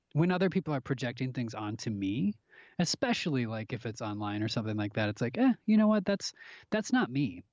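With an American accent, a man speaks at a medium pitch with very wide pitch swings. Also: fairly quick pace. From US Midwest, Minnesota (Minneapolis). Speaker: actor. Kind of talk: casual chat.

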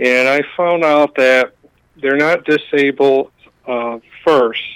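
Very slowly, a man speaks at a medium pitch with fairly even intonation. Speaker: caller. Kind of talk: call-in talk. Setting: phone call.

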